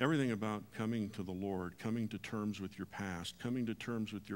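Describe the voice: A plain read-aloud passage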